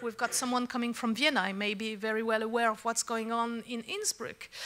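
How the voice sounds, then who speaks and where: A woman's fairly high, bright, sharp voice with a French accent. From France. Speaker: secretary general of an organization. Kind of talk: conference speech. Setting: conference with audience.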